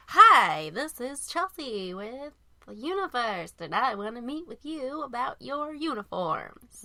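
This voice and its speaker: A female-sounding put-on character voice comes across as robotic and high-pitched. It moves at a fairly slow pace with very wide pitch swings. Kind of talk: scripted sales pitch. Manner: robotic, stiff.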